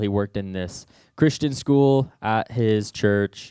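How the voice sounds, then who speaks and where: In an ordinary speaking voice, a man talks at a moderate pace in a fairly low pitch, on a very clean recording with a silent background. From Southwest Missouri. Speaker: youth minister. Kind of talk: sermon. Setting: church.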